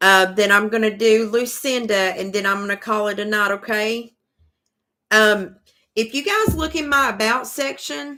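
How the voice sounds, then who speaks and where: This woman's voice has a bright, sharp tone and a fairly high pitch. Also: ordinary pitch variation. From US South, east Tennessee. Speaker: tarot reader. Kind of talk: live-stream tarot reading. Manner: casual, drawling.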